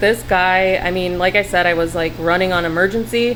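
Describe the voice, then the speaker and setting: This woman has a medium pitch and ordinary pitch variation. Noticeable background noise sits behind her voice. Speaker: tarantula keeper vlogger. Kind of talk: casual video rant and tutorial. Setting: at home, talking to camera. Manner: animated.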